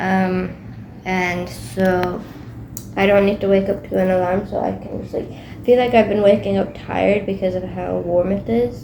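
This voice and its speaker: A woman speaks at a moderate pace, and the room echo is audible. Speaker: student vlogger. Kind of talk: casual vlog monologue. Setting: dorm room. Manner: hesitant, filler-heavy.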